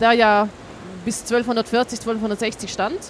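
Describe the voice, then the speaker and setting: Noticeable background noise runs under the recording. A woman speaks at a fairly high pitch. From Switzerland. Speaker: archaeologist, excavation leader. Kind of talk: interview on site. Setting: outdoors at an excavation site.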